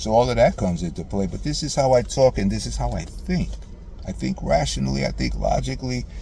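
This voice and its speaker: Over noticeable background noise, a man with a very deep, low pitch speaks in a passionate tone at a very fast pace, his pitch swinging very widely. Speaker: father addressing estranged daughter in video message. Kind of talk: emotional personal monologue. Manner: passionate, sometimes loud; repetitive stammering.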